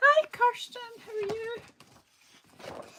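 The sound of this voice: Squeaky and extremely high, the voice is a put-on character voice.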